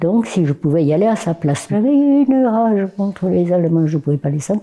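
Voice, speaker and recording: A woman with a fairly low pitch makes very wide pitch swings while keeping her loudness very even, over noticeable background noise. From southern France, Perpignan. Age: 90s. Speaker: war veteran, former Resistance member. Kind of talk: testimony. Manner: halting.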